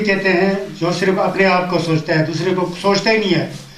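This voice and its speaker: A man talks in a high pitch. Noticeable background noise and audible room echo come through. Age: 60s. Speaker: Buddhist teacher. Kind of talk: dharma talk.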